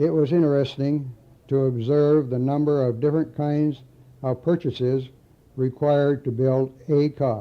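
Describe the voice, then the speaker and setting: The speaker has a Midwestern American accent and a moderate pace. Loudness stays very even, and the intonation is fairly even. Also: man, fairly high pitch for a man. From Lansing, Michigan. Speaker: retired auto factory auditor. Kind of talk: reading own memoir aloud.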